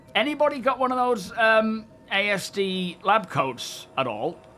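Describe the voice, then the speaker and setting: A man is speaking. He has an English accent. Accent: English, compared to Tyson Fury's. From England, Northamptonshire. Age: 40s. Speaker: gaming streamer. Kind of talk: casual live stream chat. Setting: live stream. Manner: relaxed, hesitant with fillers.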